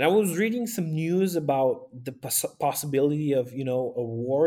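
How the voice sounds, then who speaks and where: A man with a Romanian accent has a fairly high pitch and a dark, mellow tone. He talks at a fairly slow pace. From northern Romania, Maramureș. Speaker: pastor and aid volunteer. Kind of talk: interview.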